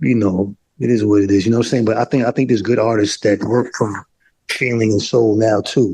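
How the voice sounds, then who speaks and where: With an American accent, a man speaks at a fairly quick pace. His intonation is fairly even and his loudness very even. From New York City, Harlem. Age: 50s. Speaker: mixed media artist. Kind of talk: interview. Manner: halting, many repetitions and fillers.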